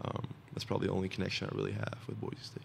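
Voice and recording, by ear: A man with a low pitch races at a very fast pace, making big pitch swings through his vocal fry.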